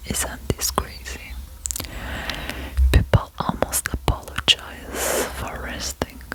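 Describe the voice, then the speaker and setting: Someone whispers in a calm tone at a very slow pace, with long, frequent pauses over noticeable background noise. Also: woman. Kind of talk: ASMR whispered reflection. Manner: whispered, soft, sweet; calm, slow, relaxing.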